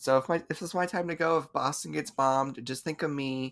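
A man talks at a fairly quick pace, with a fairly high pitch and ordinary pitch variation. It is a plain, everyday voice. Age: 20s. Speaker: podcast co-host. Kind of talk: casual chat.

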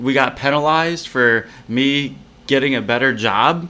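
Noticeable background noise sits behind a man speaking. He talks at a medium pitch and a fairly slow pace. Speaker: podcast co-host. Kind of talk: casual chat, frustrated commentary. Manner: agreeing, more subdued, sighing.

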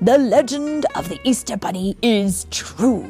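Using a put-on character voice, a woman speaks fairly slowly at a medium pitch while music plays clearly in the background. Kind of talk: bedtime story reading with character voices. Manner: formal, lofty, knowing.

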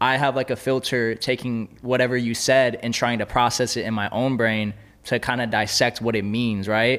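Hardly pausing, a man speaks at a medium pitch with fairly even intonation. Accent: Californian. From Los Angeles. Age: 20s. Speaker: podcast host. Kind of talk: casual interview. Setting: studio.

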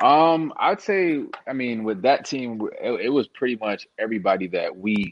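This man speaks at a fairly slow pace. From Canada, Toronto. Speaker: former college football receiver. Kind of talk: casual interview. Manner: hesitant, many fillers.

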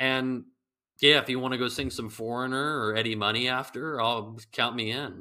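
Speaking at a moderate pace with a Californian accent, a man keeps his intonation fairly even. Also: medium pitch for a man. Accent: Californian American. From Northern California, Bay Area. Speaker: golf ball company founder. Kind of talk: interview. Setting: remote call.

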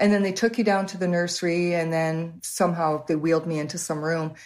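Here a woman speaks with a Canadian accent at a fairly quick pace. Her pitch is fairly low. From Canada, Waterloo Ontario. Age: 60s. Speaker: host's mother. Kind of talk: interview. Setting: video call.

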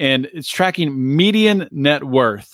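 A man with an American accent and a normal speaking voice talks at a fairly slow pace, fairly high in pitch with lively intonation, in a very clean recording with a silent background. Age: 40s. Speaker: political podcast host. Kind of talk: solo commentary. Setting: studio recording. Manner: casual, filler-heavy.

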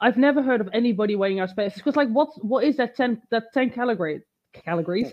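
A woman speaks very fast at a fairly high pitch. Her intonation is lively. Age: 30s. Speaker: fitness coach and bodybuilder. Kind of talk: casual chat. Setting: online live stream.

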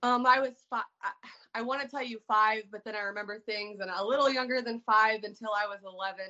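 A woman talks in a normal speaking voice at a fairly high pitch and a fairly quick pace. Her intonation is fairly even, with big swings in loudness. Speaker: author sharing recovery story. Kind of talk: personal testimony in interview.

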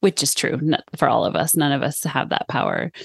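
A woman with an American accent speaks at a moderate pace and a fairly low pitch, with vocal fry. The sound is dry and close with no echo, and the background is quiet. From California, Sonoma. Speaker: sustainability scientist. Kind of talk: interview conversation.

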